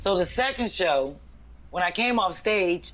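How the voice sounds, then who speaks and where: A woman speaks fairly slowly in an animated tone with lively intonation. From St. Louis, US Midwest. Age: 50s. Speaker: comedian. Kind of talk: casual chat.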